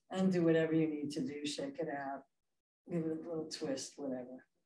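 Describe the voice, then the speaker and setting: Audible room echo and light background noise surround a woman with a very deep, low pitch. Her tone is calm, dark and mellow. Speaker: yoga instructor. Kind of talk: guided chair yoga class, spoken cues. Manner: calm, slow, encouraging. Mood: calm, gentle. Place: hall. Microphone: camera far.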